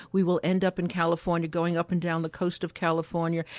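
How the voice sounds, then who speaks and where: A woman with an American accent and fairly low pitch, talking at a fairly quick pace in a dry, close sound with no echo over a quiet background. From New York City (Spanish Harlem). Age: 70s. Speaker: elder care advocate. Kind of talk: radio interview. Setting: radio studio, live on air.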